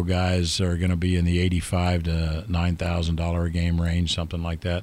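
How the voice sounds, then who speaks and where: Moderate pace with a Midwestern US accent, on a very clean recording with a silent background. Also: man. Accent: US Midwest. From Ohio. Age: 60s. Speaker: football referee. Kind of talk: interview. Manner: halting, many fillers.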